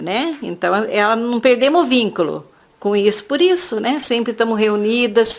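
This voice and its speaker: A woman with a plain, everyday voice speaks at a fairly high pitch. Her pace is moderate and her intonation lively. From Brazil, São Paulo state (Jacareí). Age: 60s. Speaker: craftswoman. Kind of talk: oral history interview. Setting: at home.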